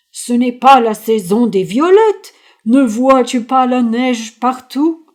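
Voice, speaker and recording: A woman puts on a high-pitched character voice, speaking at a fairly slow pace with ordinary pitch variation. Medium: read story. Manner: slow, solemn.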